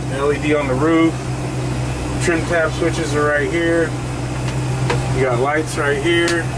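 A man at a fairly slow pace against loud background noise. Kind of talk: casual vlog chat. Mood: relaxed, casual. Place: boat. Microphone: phone near.

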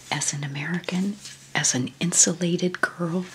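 The voice is soft-spoken, its intonation fairly even. Light background noise is present. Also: woman. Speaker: book flip-through narrator. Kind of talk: casual reminiscing commentary. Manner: soft, hushed ASMR speaking voice. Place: home room. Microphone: phone near.

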